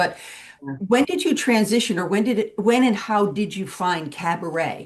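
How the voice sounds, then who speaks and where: A woman with an ordinary speaking voice talks at a moderate pace, her pitch variation ordinary. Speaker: cabaret singer and interviewer. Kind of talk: interview question.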